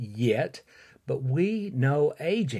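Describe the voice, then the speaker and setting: In a very clean recording against a silent background, a man with an Alabama accent speaks at a fairly high pitch, somewhat breathy. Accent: Southern US (Alabama). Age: 60s. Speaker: podcast host and fitness instructor. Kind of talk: solo podcast monologue. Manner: casual with frequent fillers.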